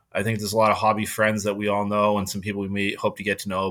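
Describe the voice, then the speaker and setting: A man with a fairly low pitch and a bright, sharp tone speaks with a Boston accent. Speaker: podcast host. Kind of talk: casual chat. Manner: monotone.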